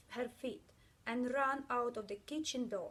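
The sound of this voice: At a fairly slow pace, a woman speaks in a high voice.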